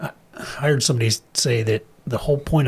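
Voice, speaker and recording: A man speaks with an American accent and ordinary pitch variation. Noticeable background noise runs behind him. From US Midwest, Wichita, Kansas. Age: 60s. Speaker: chiropractor and health practitioner. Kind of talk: casual chat.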